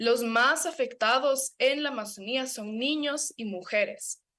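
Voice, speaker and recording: A woman speaks at a high pitch and a fairly slow pace. Her pitch varies in an ordinary way, and the background is quiet. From Ecuador, Amazon (Sarayaku). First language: Kichwa (speaking Spanish). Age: young. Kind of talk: radio/TV interview. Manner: animated, some stammering.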